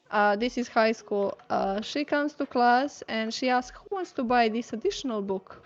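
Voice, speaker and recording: Speaking with a Serbian accent, a woman uses a high pitch and lively intonation at a moderate pace with hardly any pauses. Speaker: concept artist. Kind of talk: casual chat. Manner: halting.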